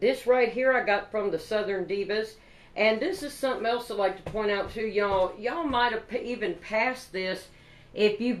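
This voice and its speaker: A woman with a Kentucky accent, fairly high-pitched, at a moderate pace with ordinary pitch movement, over noticeable background noise. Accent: Kentucky country. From Kentucky, Paducah. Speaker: craft vlogger. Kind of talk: product haul show-and-tell. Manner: animated.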